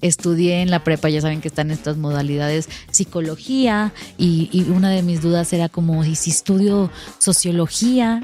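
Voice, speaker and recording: A woman speaks in a fairly low pitch. Music plays in the background. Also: ordinary pitch variation, moderate pace. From Mexico, Monterrey. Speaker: marketing executive. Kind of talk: podcast interview. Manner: casual, chatty.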